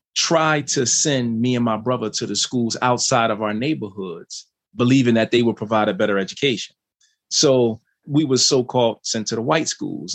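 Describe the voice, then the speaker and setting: With ordinary pitch variation, the voice moves at a moderate pace. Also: man. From West Philadelphia. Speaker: author and former prisoner. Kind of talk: interview storytelling.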